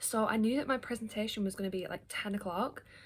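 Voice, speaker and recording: The speaker has an English accent and talks at a very fast pace. Pitch variation is ordinary. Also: woman. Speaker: book vlogger. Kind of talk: casual vlog talk. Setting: at home. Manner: chatty, filler-heavy.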